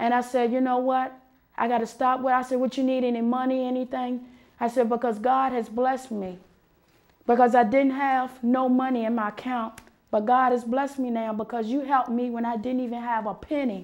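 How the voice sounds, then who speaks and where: A woman with a high pitch speaks at a fairly quick pace in a monotone, flat intonation. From US. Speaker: talk show host. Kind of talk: monologue.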